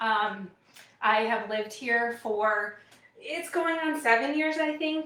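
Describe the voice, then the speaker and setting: Slowly and with lively intonation, a woman with a fairly high pitch speaks very slowly in an American accent. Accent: slight Wisconsin accent, comes out at times. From US Midwest, Wisconsin. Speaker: product demonstrator, cooking host. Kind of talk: live product demo stream. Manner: casual, frequent fillers.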